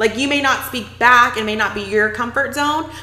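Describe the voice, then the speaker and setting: A woman's high, animated voice with an American accent, at a fairly quick pace with ordinary pitch variation, against noticeable background noise. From Texas. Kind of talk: casual chat.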